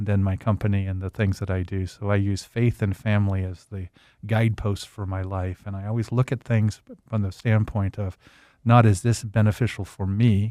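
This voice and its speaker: A man's fairly low, dark and mellow voice, dry and close with no echo, on a very clean recording with a silent background. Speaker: advertising agency owner and professor. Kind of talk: interview. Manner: energetic by the end.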